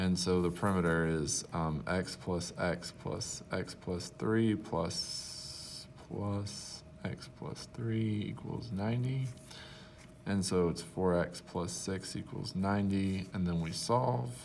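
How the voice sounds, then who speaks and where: In a room with an audible echo, a man with a very deep, low voice talks at a very slow pace with ordinary pitch variation. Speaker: math teacher. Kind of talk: tutorial.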